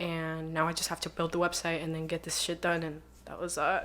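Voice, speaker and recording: In a Spanish accent, a woman talks very fast in a fairly low pitch. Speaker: online magazine founder and journalist. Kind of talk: casual podcast interview. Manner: casual, filler-heavy.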